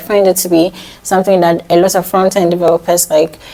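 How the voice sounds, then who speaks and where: Noticeable background noise sits behind a woman with a medium pitch. She talks at a fairly quick pace. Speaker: software developer and vlogger. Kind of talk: vlog tutorial talk. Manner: fast.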